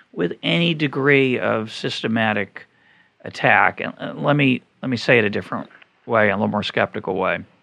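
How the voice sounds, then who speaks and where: With an American accent, a man speaks at a moderate pace with a fairly low pitch, lively intonation, a bright, sharp tone and vocal fry. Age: 50s. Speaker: podcast host, economist. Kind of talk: interview conversation.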